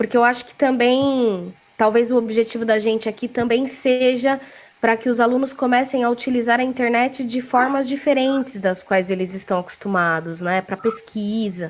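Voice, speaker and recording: An unremarkable speaking voice belongs to a woman who speaks at a moderate pace, fairly high in pitch with ordinary pitch variation. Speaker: professor. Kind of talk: online panel discussion.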